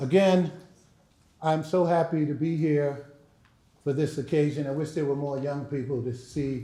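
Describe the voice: Speaking at a fairly slow pace with long, frequent pauses, the man has a dark, mellow tone, fairly high pitch and fairly even intonation.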